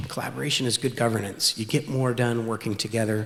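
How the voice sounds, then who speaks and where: Noticeable background noise sits behind this recording. A man speaks very fast at a medium pitch with fairly even intonation. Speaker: city official. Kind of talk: speech.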